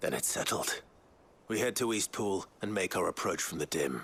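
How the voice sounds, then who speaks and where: Using a put-on character voice, a man speaks at fairly low pitch and a moderate pace with lively intonation. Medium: video game. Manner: dry, steady.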